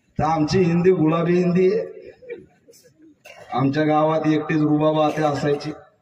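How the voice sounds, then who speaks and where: In a room with audible echo, a man talks at a fairly high pitch with monotone, flat intonation. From rural Maharashtra, India. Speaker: comedian. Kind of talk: stand-up.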